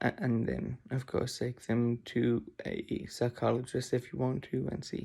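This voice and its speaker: The tone is dark and mellow, somewhat breathy. The pace is fairly slow, with ordinary pitch variation. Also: man, medium pitch for a man. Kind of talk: personal vlog. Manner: halting, many repetitions.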